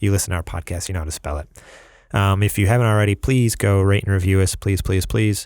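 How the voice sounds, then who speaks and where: Very fast speech from a man with a slight New York accent, fairly low in pitch with fairly even intonation, on a very clean recording with a silent background. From New York, US. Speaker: podcast host. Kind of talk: casual chat. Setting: studio.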